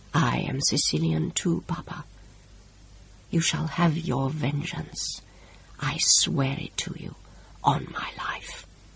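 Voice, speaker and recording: A man whispers in a put-on character voice. He goes at a fairly slow pace with long, frequent pauses. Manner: solemn, vowing.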